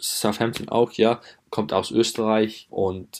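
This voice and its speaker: A man speaks at a very slow pace with monotone, flat intonation, in a very clean recording with a silent background. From England. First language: English (speaking German). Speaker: footballer. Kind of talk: interview. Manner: halting.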